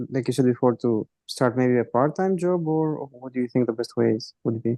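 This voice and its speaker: A man with a Greek accent speaks at a moderate pace in a dark, mellow tone. The sound is dry and close with no echo. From Greece. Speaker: aspiring sales rep. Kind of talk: q&a on group call.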